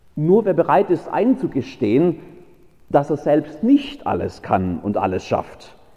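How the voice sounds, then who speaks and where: A man speaks at a high pitch with very wide pitch swings. Noticeable background noise is present. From Baden-Württemberg. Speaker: pastor. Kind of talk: sermon.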